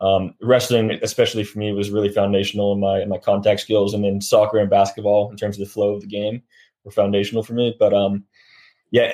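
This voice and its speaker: A man with a Californian accent, a dark, mellow tone and fairly low pitch, very fast pace, monotone, flat intonation and big swings in loudness, on a very clean recording with a silent background. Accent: American (California). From California, Sacramento. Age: 20s. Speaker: professional rugby player. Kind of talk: interview.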